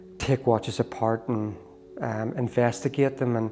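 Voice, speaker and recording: A man talks at a medium pitch with a Northern Irish accent. Noticeable background noise runs behind him. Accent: Northern Irish (Belfast). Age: 60s. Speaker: watchmaker and amateur cyclist. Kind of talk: interview.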